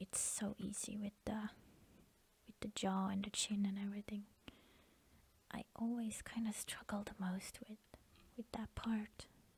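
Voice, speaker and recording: Soft-spoken delivery at a fairly slow pace. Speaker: digital artist. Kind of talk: soft-spoken ASMR drawing session. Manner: hesitant, repeats words.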